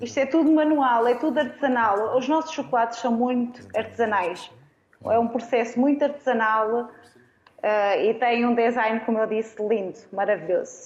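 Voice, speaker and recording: Speaking at a moderate pace with very even loudness and ordinary pitch variation, this is an unremarkable speaking voice. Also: woman, fairly high pitch for a woman. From Arganil, central Portugal. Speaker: food engineer. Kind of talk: casual chat. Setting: studio.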